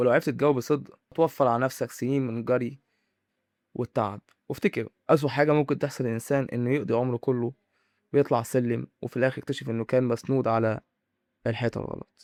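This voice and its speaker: Fairly quick, fairly even speech from a man at medium pitch, on a very clean recording with a silent background and dry, close sound with no echo. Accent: Egyptian. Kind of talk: motivational monologue to camera. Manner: dramatic, with pauses.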